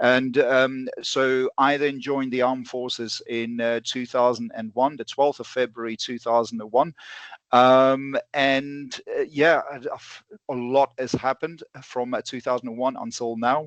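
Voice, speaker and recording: In a South African accent, a man speaks at a fairly slow pace with monotone, flat intonation and big swings in loudness, the sound dry and close with no echo. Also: medium pitch for a man. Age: 40s. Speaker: bullet manufacturer and ballistics instructor. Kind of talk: podcast interview. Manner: halting, many fillers.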